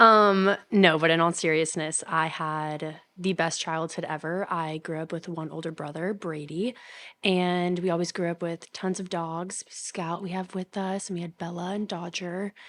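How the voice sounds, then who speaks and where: In a very clean recording with a silent background, a woman speaks with a bright, sharp tone and a fairly low pitch, using monotone, flat intonation at a moderate pace with hardly any pauses. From Kentucky, Louisville. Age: 20s. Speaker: college student. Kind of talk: casual chat.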